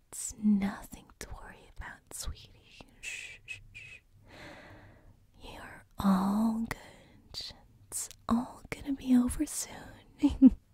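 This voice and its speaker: A woman puts on a raspy character voice at a fairly high pitch. She speaks very slowly, with long, frequent pauses. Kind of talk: gentle, condescending. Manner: soothing, sinister.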